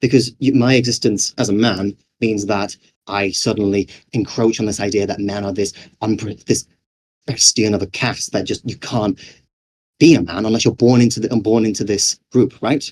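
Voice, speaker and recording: A man with a British accent speaks at a moderate pace in a fairly low voice. His intonation is fairly even, and the sound is dry and close with no echo. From Britain. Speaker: game developer and conference speaker. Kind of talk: conference talk.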